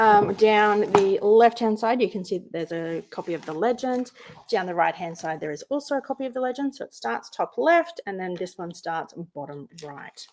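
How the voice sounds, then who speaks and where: In an Australian accent, a woman with a medium-pitched voice swings very widely in pitch and shifts a lot in loudness. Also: moderate pace. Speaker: craft youtuber. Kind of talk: unboxing tutorial. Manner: animated.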